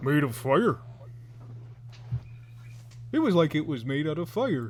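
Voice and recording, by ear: Putting on a character voice, a man speaks fairly high for a man at a moderate pace over clear background noise.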